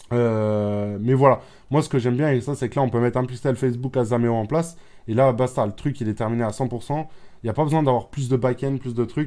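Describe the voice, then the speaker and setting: Against a quiet background, a man talks at a fairly quick pace with medium pitch and fairly even intonation. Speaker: online business youtuber. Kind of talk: screen-share tutorial. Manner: fast; repetitive, hesitant fillers.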